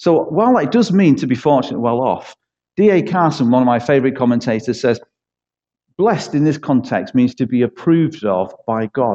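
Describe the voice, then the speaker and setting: A man's dark, mellow voice at a medium pitch, with a Manchester accent, a moderate pace and lively intonation. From East Manchester, England. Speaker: church pastor. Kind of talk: sermon. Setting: church.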